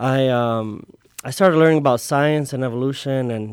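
A man with an unremarkable speaking voice, pitched in the medium range. He talks at a moderate pace with ordinary pitch variation. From Chicago (Little Village), born in Mexico. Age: 30s. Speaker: seminarian. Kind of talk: radio interview.

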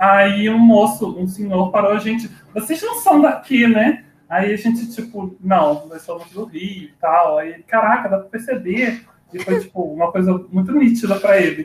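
A high-pitched male voice at a moderate pace. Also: ordinary pitch variation, big swings in loudness. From Cachoeiras de Macacu, Rio de Janeiro state. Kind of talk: casual chat.

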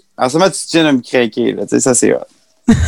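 This is a man with an unremarkable speaking voice. He talks at a moderate pace. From Quebec. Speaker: singer. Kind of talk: casual chat.

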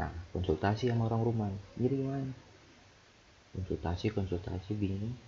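Speaking at a fairly quick pace broken by long, frequent pauses, a man with a fairly low pitch and a dark, mellow, somewhat breathy tone shows ordinary pitch variation. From Jayapura, Papua, Indonesia. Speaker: podcaster, recent nursing graduate. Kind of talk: casual solo diary-style talk. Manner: halting, rambling, self-interrupting.

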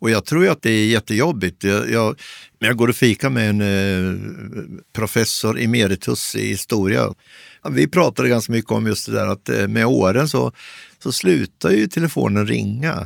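A man with a fairly low pitch and very wide pitch swings at a moderate pace, in a very clean recording with a silent background and dry, close sound with no echo. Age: 60s. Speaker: columnist. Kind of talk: interview. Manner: halting.

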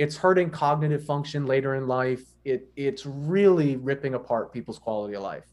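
With hardly any pauses, a man speaks at a moderate pace in an unremarkable speaking voice with ordinary pitch variation. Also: fairly high pitch for a man. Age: 30s. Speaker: exercise physiology professor. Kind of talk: casual interview.

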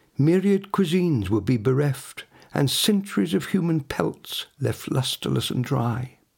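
A man speaks at a fairly slow pace in a somewhat breathy voice, his tone theatrical and solemn, his intonation lively. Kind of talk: poetry reading in the first-person voice of an ancient olive tree, dramatic and literary. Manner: slow, measured, theatrical and solemn, with weighty pauses and grand, wistful emphasis.

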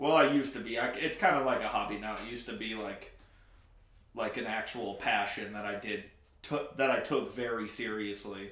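In a room with audible echo, a man talks at a moderate pace in a medium pitch, his pitch varying in an ordinary way. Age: 20s. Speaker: podcast co-host. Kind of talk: casual chat.

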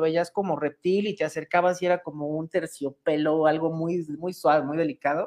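The speaker talks at a fairly quick pace with a Mexican accent. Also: woman. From Mexico. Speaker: online show host. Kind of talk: interview. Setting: video call.

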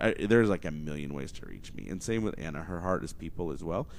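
A man at a very fast pace, with an American accent and audible room echo. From Oklahoma. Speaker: podcast host and entrepreneur. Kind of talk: casual solo monologue. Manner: energetic.

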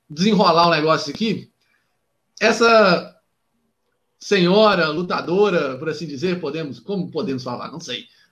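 This man's voice sits high. His intonation is lively. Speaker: wrestling podcast host. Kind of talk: interview. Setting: video call.

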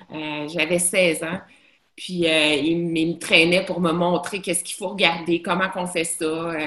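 Noticeable background noise runs under a woman speaking at a fairly slow pace in a fairly low pitch with monotone, flat intonation. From Montreal, Quebec. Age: 40s. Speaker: bar owner. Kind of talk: casual chat. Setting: video call.

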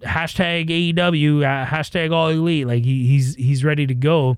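In a Canadian accent, a man talks in a plain, everyday voice with a fairly high pitch and ordinary pitch variation.

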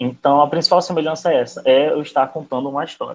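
A man's plain, everyday voice at a fairly quick pace, with ordinary pitch variation. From Macapá, Amapá, northern Brazil. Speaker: writer. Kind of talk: interview.

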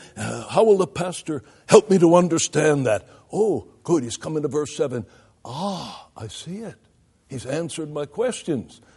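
Vocal fry runs through a man's fairly high-pitched voice, which has a dark, mellow tone. He talks at a moderate pace with lively intonation and big swings in loudness. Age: 70s. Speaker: pastoral theology lecturer and preacher. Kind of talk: lecture. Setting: classroom with audience of ministers.

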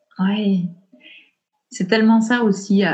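Somewhat breathy and dark, mellow in tone, the woman's voice carries a monotone, flat intonation. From Belgium, Ardennes. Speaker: perinatal coach. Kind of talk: interview conversation. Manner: halting.

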